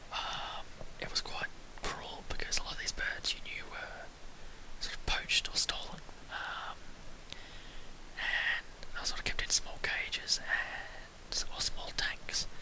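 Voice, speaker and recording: Noticeable background noise sits under fairly slow whispering marked by long, frequent pauses. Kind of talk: casual whispered travel talk to camera. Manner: whispered.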